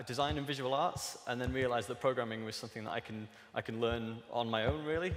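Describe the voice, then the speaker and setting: Noticeable background noise behind a man talking fairly quickly, medium-pitched, with ordinary pitch variation. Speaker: digital artist and technologist giving a talk. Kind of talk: conference talk. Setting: stage with audience.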